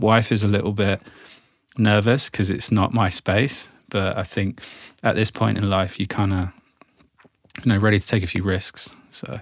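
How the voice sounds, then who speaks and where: On a very clean recording with a silent background, a man with a southern English accent talks at a moderate pace with fairly even intonation and long, frequent pauses. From England, Isle of Wight. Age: 40s. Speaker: arts event founder. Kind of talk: casual interview chat. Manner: casual, loose, with fillers.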